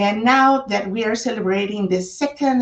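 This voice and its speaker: A woman with a Spanish accent speaks with ordinary pitch variation. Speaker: author. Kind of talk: book launch talk. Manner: hesitant with fillers.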